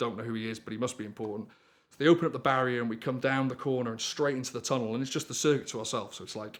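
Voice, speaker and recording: Speaking with a North Welsh accent, a man uses a medium pitch and fairly even intonation. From North Wales. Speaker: storyteller, rally driver. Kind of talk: storytelling anecdote.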